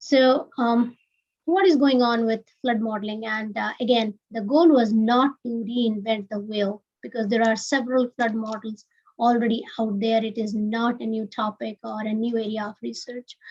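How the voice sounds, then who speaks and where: A woman with a fairly high pitch and a somewhat breathy voice speaks at a moderate pace with fairly even intonation. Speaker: research scientist presenting a project. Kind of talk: webinar presentation. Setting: live-streamed webinar.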